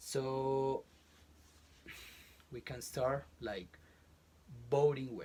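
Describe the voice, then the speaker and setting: At a very slow pace, a man speaks with fairly even intonation and long, frequent pauses. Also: medium pitch for a man. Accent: Colombian. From Colombia, Bogotá. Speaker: college professor. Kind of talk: interview. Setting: closet in a home. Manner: halting.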